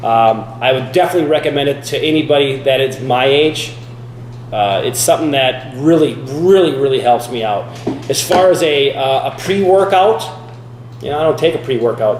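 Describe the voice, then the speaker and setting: Speech at a moderate pace with ordinary pitch variation comes through audible room echo and noticeable background noise. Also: man, fairly high pitch for a man. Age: 40s. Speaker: fitness vlogger. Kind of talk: casual vlog talk. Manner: casual, halting with many fillers.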